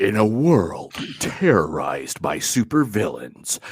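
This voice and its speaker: Using a put-on character voice, a man speaks in a dramatic tone at a fairly low pitch and a fairly slow pace, with very wide pitch swings. The recording is very clean, with a silent background and a dry, close sound with no echo. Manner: epic, dramatic.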